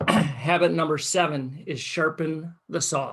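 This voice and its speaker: Using a put-on character voice, a man speaks hoarsely at a fairly slow pace and a fairly high pitch. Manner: morning motivational talk.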